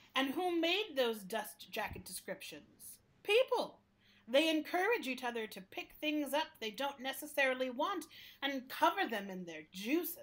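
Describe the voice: A put-on character voice carries a fairly bright tone and big pitch swings. The pace is fairly slow. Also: woman, high pitch for a woman.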